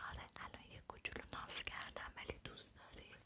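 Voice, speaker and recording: Whispering in a soothing tone over noticeable background noise. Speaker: ASMR creator. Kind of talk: Persian ASMR talk, affectionate. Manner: whispered, soothing.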